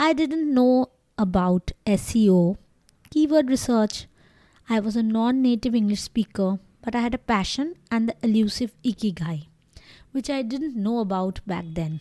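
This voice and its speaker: In a Bengali accent, a woman speaks at a moderate pace with lively intonation, the sound dry and close with no echo. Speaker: doctor, blogger and podcaster. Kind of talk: scripted narration.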